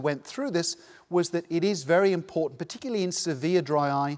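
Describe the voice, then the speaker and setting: A man talks at a very fast pace with a high pitch and ordinary pitch variation. The recording is very clean, with a silent background. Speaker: eye care researcher. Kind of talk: conference lecture.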